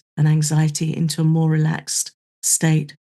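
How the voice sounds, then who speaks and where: At a fairly slow pace, a woman speaks with a very deep, low pitch and a dark, mellow tone that is somewhat breathy. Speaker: podcast co-host. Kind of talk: casual chat.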